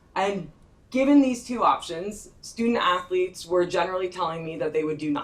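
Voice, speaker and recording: A woman's medium-pitched voice at a very fast pace, with lively intonation against noticeable background noise. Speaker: sports social scientist. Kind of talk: conference presentation.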